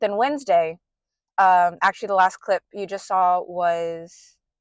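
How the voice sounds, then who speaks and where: A plain, everyday voice speaks at a moderate pace with fairly even intonation. The sound is dry and close with no echo, in a quiet background. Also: woman. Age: 20s. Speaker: book vlogger. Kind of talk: casual vlog chat. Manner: casual with many fillers.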